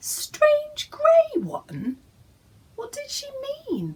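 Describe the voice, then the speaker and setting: Putting on a character voice, the woman sounds squeaky at an extremely high pitch. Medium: read story.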